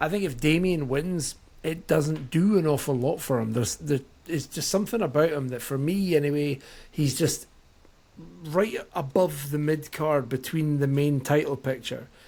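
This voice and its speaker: A man with a Scottish accent, fairly high in pitch, dark and mellow in tone, with ordinary pitch variation at a moderate pace. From Scotland. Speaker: wrestling podcast co-host. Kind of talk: casual chat.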